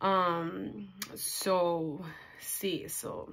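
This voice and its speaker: A woman speaks against a quiet background. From California, Mexican-American. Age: 20s. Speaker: vlogger, cancer survivor. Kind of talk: casual Q&A vlog. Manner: hesitant, many fillers. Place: home room. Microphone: phone near.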